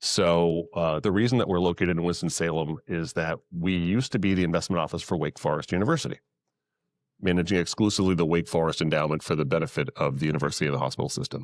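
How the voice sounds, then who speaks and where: Very fast and very deep, a man talks with a New England accent and ordinary pitch variation. The recording is very clean, with a silent background. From New England, Massachusetts. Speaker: investment advisor to nonprofits. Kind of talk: panel talk to live audience.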